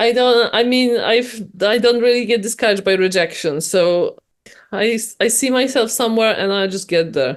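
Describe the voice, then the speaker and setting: A woman with a Polish accent talks at a moderate pace with fairly high pitch and ordinary pitch variation. The background is quiet. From Poland. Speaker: novelist. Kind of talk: interview. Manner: halting, many restarts.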